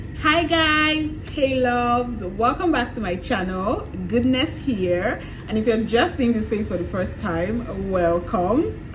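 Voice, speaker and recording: Music plays behind a woman whose fairly high voice carries lively intonation at a fairly slow pace. The room adds audible echo. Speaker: movie reviewer YouTuber. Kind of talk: casual video review. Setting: outdoors near a road. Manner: loud. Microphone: no external mic, poor audio.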